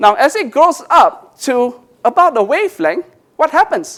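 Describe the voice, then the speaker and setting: The man speaks at a fairly slow pace. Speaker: professor. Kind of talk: conference talk. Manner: halting, many fillers.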